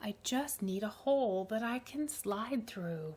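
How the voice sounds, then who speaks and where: Using a put-on character voice, a woman speaks fairly slowly at a fairly high pitch. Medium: read story.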